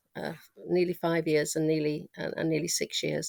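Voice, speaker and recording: A woman with a Manx accent at a moderate pace, in a very clean recording with a silent background. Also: dry, close sound with no echo. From Isle of Man (Ramsey). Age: 70s. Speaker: interviewee sharing childhood memories. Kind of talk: oral history interview. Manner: conversational with frequent hesitations.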